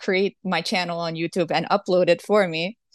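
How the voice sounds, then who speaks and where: Someone with a Portuguese accent speaks in a monotone, flat intonation, the sound dry and close with no echo against a quiet background. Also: woman. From Brazil. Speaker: singer-songwriter. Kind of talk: interview.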